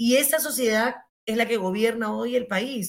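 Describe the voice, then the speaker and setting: This woman uses an ordinary speaking voice, talking at a moderate pace with ordinary pitch variation. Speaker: former justice minister. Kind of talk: interview.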